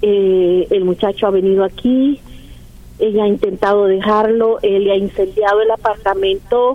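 Over noticeable background noise, a woman talks at a medium pitch with very even loudness and fairly even intonation. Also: moderate pace. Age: 60s. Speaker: caller, worried mother. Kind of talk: phone-in call to advice radio show.

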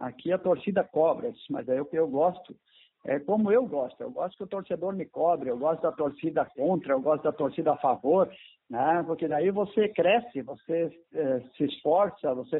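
He has an ordinary speaking voice, fairly high for a man, with lively intonation. His pace is moderate. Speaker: former footballer and coach. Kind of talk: interview.

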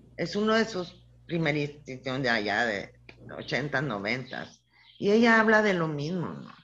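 Very deep, low-pitched woman with a northern Mexican accent, very wide pitch swings, a fairly slow pace and audible room echo. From Chihuahua, northern Mexico. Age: 60s. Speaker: feminist scholar and professor. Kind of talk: interview testimony.

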